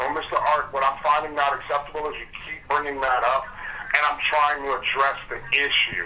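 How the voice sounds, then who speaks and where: A man with a New Jersey accent, fairly high pitch and monotone, flat intonation, talking at a fairly quick pace amid noticeable background noise. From New Jersey, East Orange. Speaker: warranty company representative. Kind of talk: heated phone argument.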